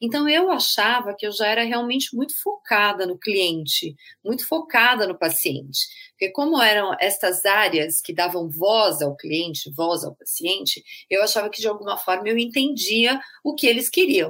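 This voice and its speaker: In a bright, sharp tone, the voice moves at a moderate pace with very wide pitch swings. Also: woman, fairly high pitch for a woman. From Brazil, São Paulo. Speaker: healthcare marketing executive, patient experience specialist. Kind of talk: interview.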